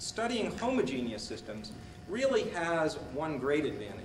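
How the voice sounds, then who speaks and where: A man talks at a moderate tempo while noticeable background noise carries on behind him. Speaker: speaker. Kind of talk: lecture. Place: hall. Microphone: old recording.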